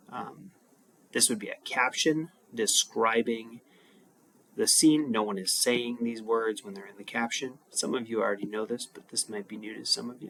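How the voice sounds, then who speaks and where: In an ordinary speaking voice, a man talks at a medium pitch and a moderate pace, with ordinary pitch variation and big swings in loudness. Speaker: high school English teacher. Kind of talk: recorded lesson. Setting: home.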